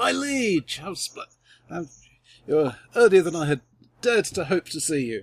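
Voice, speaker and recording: A man in a put-on character voice, fairly high and strained, with very wide pitch swings, a moderate pace and long, frequent pauses. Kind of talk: formal, courtly. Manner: strained, through gritted teeth.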